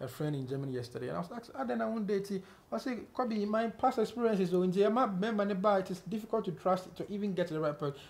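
A man at a very fast pace with very wide pitch swings. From Ghana. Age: 40s. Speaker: entertainment interviewer. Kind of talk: casual interview. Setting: on set with camera crew. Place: home room. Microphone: lapel.

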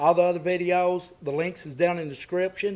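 This man's voice sits high in pitch. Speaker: hunting channel host. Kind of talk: product review vlog. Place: forest. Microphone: phone near.

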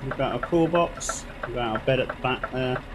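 In a British accent, the speaker goes at a moderate pace with ordinary pitch variation against noticeable background noise. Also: man. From United Kingdom. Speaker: gaming streamer. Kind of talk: live gameplay commentary. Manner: casual and chatty.

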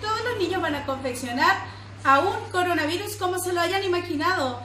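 A raised, projected voice comes through at a moderate pace, with audible room echo and light background noise. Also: woman. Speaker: preschool teacher. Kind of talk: instructions to children and parents. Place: classroom. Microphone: phone near.

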